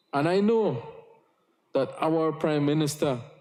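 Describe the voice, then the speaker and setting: With a Yucatán accent, a man speaks at a fairly high pitch and a fairly slow pace. His tone is dark and mellow. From Belize, Cayo district Maya village. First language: Yucatec Maya. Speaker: politician. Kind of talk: parliamentary speech. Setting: parliament chamber. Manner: formal.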